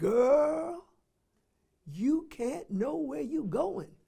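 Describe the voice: A man puts on a character voice at an extremely high pitch. His pitch swings very widely.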